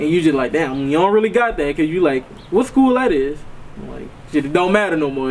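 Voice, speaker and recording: Noticeable background noise runs under a man with a New Orleans accent. His voice is fairly high, his pace fairly quick and his intonation lively. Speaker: interviewee. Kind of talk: casual interview.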